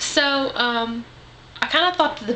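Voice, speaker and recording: A Southern US accent over noticeable background noise. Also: woman. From US South. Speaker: vlogger. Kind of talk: casual vlog monologue. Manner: rambling, filler-heavy.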